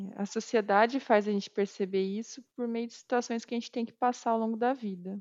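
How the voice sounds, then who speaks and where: A woman has an ordinary speaking voice with a fairly high pitch. She keeps a moderate pace and fairly even intonation. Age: 30s. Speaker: quality assurance professional. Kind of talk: interview testimony.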